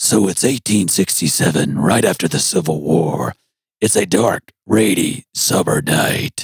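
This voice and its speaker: The speaker uses a raspy, put-on character voice. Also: man, very deep, low pitch for a man, fairly slow pace. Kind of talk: dramatic narration.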